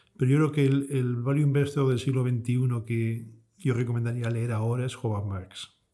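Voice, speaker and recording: Using an unremarkable speaking voice, a man talks at a medium pitch with fairly even intonation. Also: moderate pace. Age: 50s. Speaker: fund manager. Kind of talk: interview.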